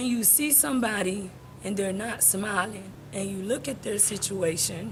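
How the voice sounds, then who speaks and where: Music plays in the background and room echo is audible as a woman with an American accent speaks at medium pitch and a moderate pace. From United States, Haitian family. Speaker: deportee sharing her story. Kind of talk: casual interview.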